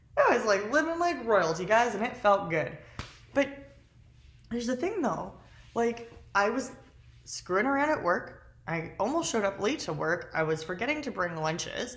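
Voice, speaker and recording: A woman with a fairly high pitch sounds animated and somewhat breathy, her pitch swinging very widely at a moderate pace. Long, frequent pauses break her speech, and audible room echo surrounds it. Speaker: lifestyle vlogger. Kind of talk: casual vlog monologue.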